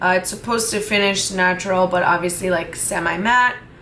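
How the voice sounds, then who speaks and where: A woman with a medium pitch speaks with fairly even intonation, and audible room echo surrounds her voice. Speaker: beauty vlogger. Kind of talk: makeup tutorial vlog. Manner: casual, chatty.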